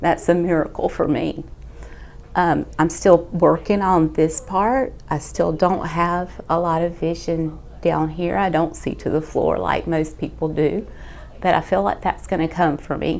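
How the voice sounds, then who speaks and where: Speaking at a fairly slow pace, the woman has a Southern US accent. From Georgia, US. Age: 50s. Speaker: critical care nurse. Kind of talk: patient testimonial.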